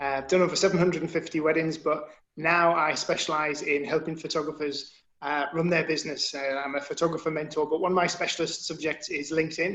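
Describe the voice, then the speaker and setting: In a Northumbrian accent, a man with a fairly high pitch talks at a very fast pace in a monotone, flat intonation. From northern England, Northumberland. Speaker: photographer mentor, former military photographer. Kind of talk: webinar panel introduction.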